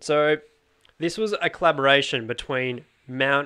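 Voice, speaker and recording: A man's bright, sharp, playful voice at a very slow pace, with ordinary pitch variation. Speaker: podcast host. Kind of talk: casual chat. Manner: playful, joking.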